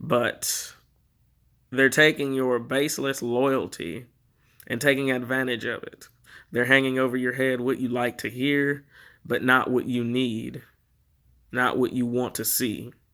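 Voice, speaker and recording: A man with an American accent speaks at a fairly slow pace in a medium-pitched, bright, sharp voice, his intonation flat and monotone. He leaves long, frequent pauses on a very clean recording with a silent background. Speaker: political commentator. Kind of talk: political monologue.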